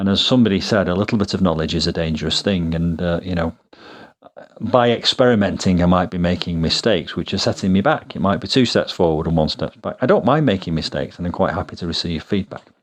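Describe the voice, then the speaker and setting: Speaking very fast, a man with a British accent uses a very deep, low pitch and ordinary pitch variation. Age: 50s. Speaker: fitness YouTuber. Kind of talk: vlog narration. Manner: hesitant, with fillers.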